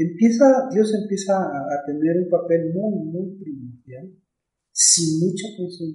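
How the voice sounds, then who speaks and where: A man's very slow speech, high in pitch, with a dark, mellow tone. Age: 50s. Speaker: pastor. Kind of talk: casual chat. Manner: halting.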